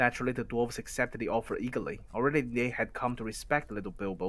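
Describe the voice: Pitch shows ordinary variation here. The delivery is plain reading aloud.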